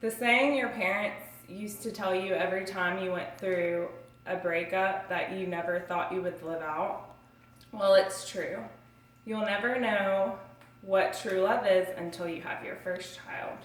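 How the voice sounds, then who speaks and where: A woman's medium-pitched voice at a fairly slow pace with ordinary pitch variation, amid noticeable background noise and audible room echo. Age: 20s. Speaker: student. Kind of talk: self-introduction speech.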